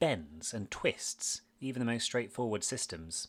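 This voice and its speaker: A man with a British accent and very wide pitch swings, on a very clean recording with a silent background. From Britain. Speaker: podcast host, former maths teacher. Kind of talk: scripted podcast narration.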